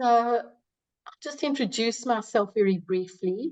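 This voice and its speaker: Spoken at a fairly slow pace, the voice has a South African accent. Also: woman. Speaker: psychology professor. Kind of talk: webinar presentation.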